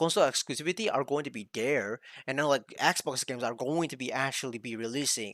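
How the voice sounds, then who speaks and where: The recording is very clean, with a silent background. In it, a man talks with ordinary pitch variation. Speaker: gaming content creator / streamer. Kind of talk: casual video commentary. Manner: fast; halting, many fillers and restarts.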